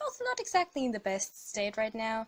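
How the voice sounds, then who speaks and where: Speaking at a fairly high pitch, a woman has a non-native accent. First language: not English. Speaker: digital artist. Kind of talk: tutorial voiceover. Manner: hesitant, many fillers.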